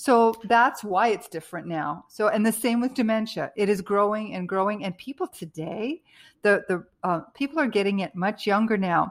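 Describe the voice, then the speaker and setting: At a moderate pace, a woman talks in a plain, everyday voice of medium pitch with ordinary pitch variation, recorded very cleanly against a silent background. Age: 60s. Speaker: author and health coach. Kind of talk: interview.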